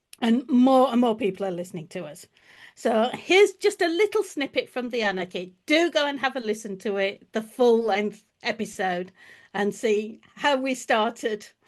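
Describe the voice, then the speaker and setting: Over a quiet background, a woman with a slight Yorkshire accent speaks at a fairly high pitch and moderate pace, her intonation lively. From Yorkshire, northern England. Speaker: historian and podcast host. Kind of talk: podcast introduction.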